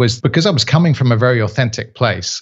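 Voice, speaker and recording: At a moderate pace and medium pitch, a man speaks with a south-east English accent, a somewhat breathy voice and lively intonation. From Kent, England. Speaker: trainer and actor. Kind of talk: casual interview chat. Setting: video or phone call from Italy. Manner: hesitant, many fillers.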